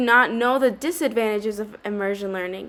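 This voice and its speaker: Delivered fairly quickly, the speech has ordinary pitch variation. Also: woman. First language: Spanish. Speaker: student. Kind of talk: scripted narration. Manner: formal.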